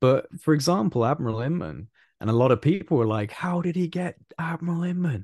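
Here a man speaks with a British accent at a moderate pace. His pitch swings very widely. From UK. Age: 20s. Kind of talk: casual chat.

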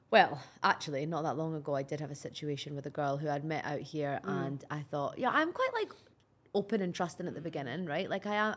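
Fairly quick speech from a woman with a Scottish accent, lively intonation and noticeable background noise. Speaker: podcast co-host. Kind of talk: casual, conversational, with swearing.

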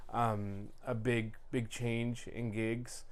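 Audible room echo colors the recording. A man talks at a medium pitch. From England, Leicester. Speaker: DJ. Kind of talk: casual chat.

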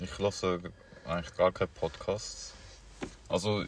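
Mumbling at a moderate pace, a man speaks. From Paraguay. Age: young. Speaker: podcast co-host. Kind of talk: casual chat.

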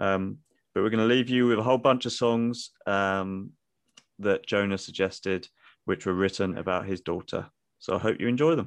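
A man with a British accent, his fairly low voice varying in pitch in an ordinary way, at a moderate pace against a quiet background. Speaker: podcast host.

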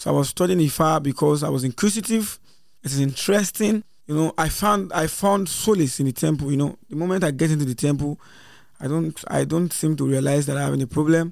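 With a Nigerian accent, the speaker talks very fast with ordinary pitch variation. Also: man, fairly high pitch for a man. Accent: Nigerian (Yoruba) English. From Nigeria, Lagos area. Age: young. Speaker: traditional priest. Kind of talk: interview.

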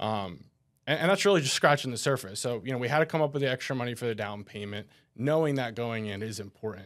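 A man with an American accent speaks at a very fast pace, at medium pitch and with lively intonation. The recording is very clean, with a silent background. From New Jersey. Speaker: financial advisor. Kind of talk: casual chat.

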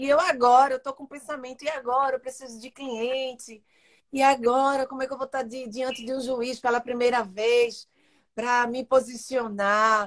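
A woman's high voice with fairly even intonation. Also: big swings in loudness. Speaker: podcast host. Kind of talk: casual interview.

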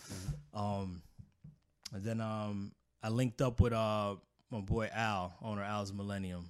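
A man with an American accent, fairly low pitch, fairly even intonation, big swings in loudness, a fairly slow pace and long, frequent pauses. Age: 40s. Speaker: tattoo artist. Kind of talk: casual interview.

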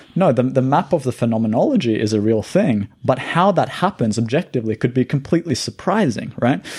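Somewhat breathy, a man talks at a fairly quick pace with lively intonation, very even loudness and hardly any pauses. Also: medium pitch for a man. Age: 30s. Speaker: cognitive neuroscientist. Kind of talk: casual chat.

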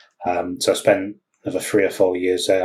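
This man's voice is somewhat breathy. He keeps to a moderate pace. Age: 40s. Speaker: technology executive. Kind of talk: interview conversation. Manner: hesitant, many fillers.

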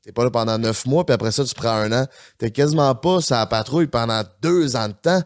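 A man with a Quebec accent speaks at a moderate pace, his pitch medium with ordinary variation. The recording is very clean, with a silent background. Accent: Québécois French. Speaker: podcast co-host. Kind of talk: casual chat. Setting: studio.

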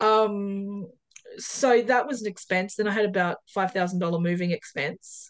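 With an Australian accent, a woman speaks at a medium pitch and a fairly slow pace, with ordinary pitch variation and hardly any pauses. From Perth, Western Australia. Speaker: off-grid homeowner. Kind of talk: casual interview. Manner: hesitant, many fillers.

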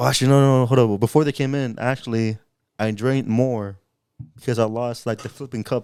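Speaking at a fairly quick pace, a man uses an ordinary speaking voice of medium pitch with fairly even intonation. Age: 20s. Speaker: podcast co-host. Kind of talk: casual chat.

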